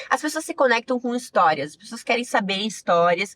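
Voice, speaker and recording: A woman with a southern Brazilian accent in a dry, close sound with no echo. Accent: gaúcho Brazilian Portuguese, retained. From Rio Grande do Sul, Brazil (Giruá). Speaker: sports journalist. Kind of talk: interview conversation.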